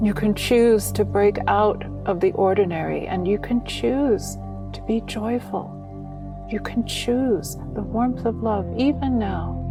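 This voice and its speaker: Soft-spoken, a woman talks at a very slow pace with music playing in the background. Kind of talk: guided meditation visualization. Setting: background music. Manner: gentle, soft-spoken.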